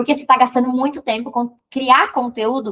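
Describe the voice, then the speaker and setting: A woman speaks in an animated tone. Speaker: digital marketing mentor. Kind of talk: live stream teaching. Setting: live stream. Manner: fast.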